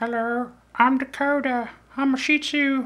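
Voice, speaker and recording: A put-on character voice, pitched high. It runs at a moderate pace with a flat, monotone delivery. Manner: cute, playful.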